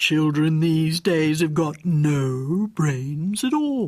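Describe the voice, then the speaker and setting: The put-on character voice moves at a very slow pace. Its pitch stays in the middle. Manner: disdainful, superior.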